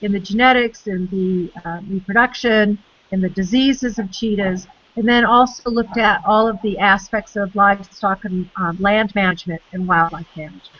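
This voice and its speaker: Moderate pace and fairly even intonation in an unremarkable speaking voice. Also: woman, medium pitch for a woman. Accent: American. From United States. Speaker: conservation biologist. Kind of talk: interview.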